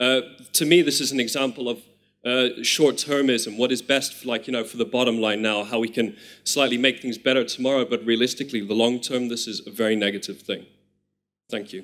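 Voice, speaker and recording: A man's fairly quick speech in an English accent, medium in pitch with ordinary pitch variation. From Netherlands. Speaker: audience member. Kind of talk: question from audience.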